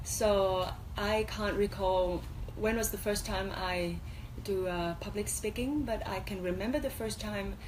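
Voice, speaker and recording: A woman's medium-pitched voice at a fairly slow pace, with audible room echo. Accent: Vietnamese. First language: Vietnamese. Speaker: MC and former beauty pageant contestant. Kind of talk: radio interview. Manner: halting.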